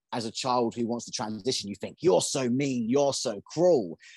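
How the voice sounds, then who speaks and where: A man talks at a fairly quick pace with an English accent and ordinary pitch variation. The sound is dry and close with no echo, over a quiet background. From England. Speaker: conspiracy commentator. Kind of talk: casual chat.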